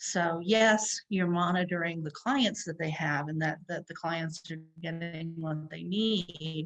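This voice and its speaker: Over a quiet background, a woman speaks very slowly at a fairly low pitch. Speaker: psychologist presenting a workshop. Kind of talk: lecture.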